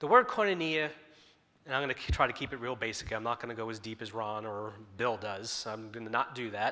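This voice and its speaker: A man at a fairly quick pace and medium pitch, with ordinary pitch variation and big swings in loudness. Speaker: lay preacher. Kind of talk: sermon. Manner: wandering, informal delivery.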